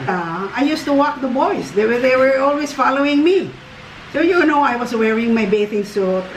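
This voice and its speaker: A woman's high voice makes very wide pitch swings at very even loudness and a moderate pace, with audible room echo and noticeable background noise. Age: 70s. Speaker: grandmother. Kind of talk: casual chat.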